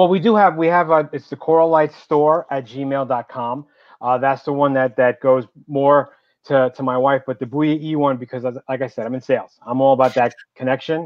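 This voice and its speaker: The speaker has a New York accent and fairly even intonation. The sound is dry with no echo, and the background is quiet. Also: man, fairly high pitch for a man, moderate pace. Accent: heavy New York. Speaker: entrepreneur, business owner; guest. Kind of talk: casual business interview. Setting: live video call. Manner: talkative. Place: home room. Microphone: video call.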